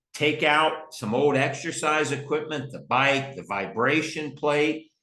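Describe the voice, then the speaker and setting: Audible room echo surrounds a man whose voice has a bright, sharp tone and a fairly high pitch. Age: 60s. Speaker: company president. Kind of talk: group call hosting. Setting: video call. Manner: upbeat.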